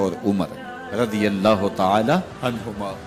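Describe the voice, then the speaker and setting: A man is speaking. Music plays in the background. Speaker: Islamic scholar. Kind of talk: religious sermon.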